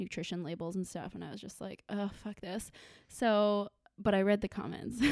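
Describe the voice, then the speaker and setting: A woman's voice at a medium pitch. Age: 20s. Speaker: podcast host and lifestyle content creator. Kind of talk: casual chat. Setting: home. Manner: animated.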